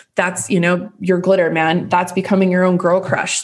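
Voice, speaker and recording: With noticeable background noise behind her, a woman speaks at a fairly low pitch and a fairly quick pace. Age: 30s. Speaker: podcast host. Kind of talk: casual solo podcast monologue. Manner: animated.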